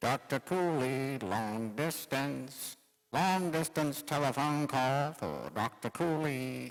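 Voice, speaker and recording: In a put-on character voice, a man speaks very slowly at a medium pitch, on a very clean recording with a silent background. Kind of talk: 1940s radio acting. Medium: old radio play. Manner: flat, repetitive announcing.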